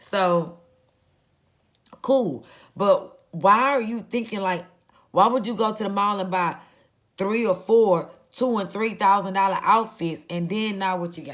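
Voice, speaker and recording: A woman's animated voice at a medium pitch, fairly slow, with long and frequent pauses, big swings in loudness, and ordinary pitch variation. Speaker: vlogger and small business owner. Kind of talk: casual monologue.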